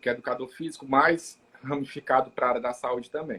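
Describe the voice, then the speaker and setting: A man with a Ceará accent talks with fairly even intonation. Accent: Brazilian Portuguese, Ceará (northeastern). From Maracanaú, Ceará, Brazil. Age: 30s. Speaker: city councillor and physiotherapist. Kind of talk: live interview chat.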